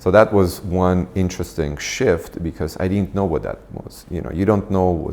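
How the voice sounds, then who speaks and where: A man with an Armenian accent, very deep and low in pitch, with fairly even intonation, a moderate pace and noticeable background noise. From Armenia, moved to US at 15. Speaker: nonprofit founder and executive. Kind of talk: interview. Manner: hesitant, many fillers.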